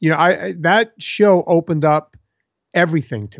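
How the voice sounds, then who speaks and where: A man's high-pitched voice with lively intonation at a moderate pace. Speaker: fitness author and podcast host. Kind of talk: casual interview chat. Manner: blunt, talkative.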